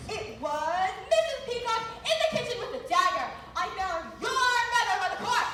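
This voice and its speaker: The pace is neither fast nor slow. A put-on character voice is used throughout. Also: woman, extremely high pitch for a woman. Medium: stage play. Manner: overwrought, melodramatic.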